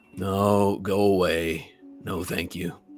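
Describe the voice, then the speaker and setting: A man puts on a raspy character voice, very deep and low in pitch. He keeps a monotone, flat intonation over faint music in the background. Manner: curt, dismissive.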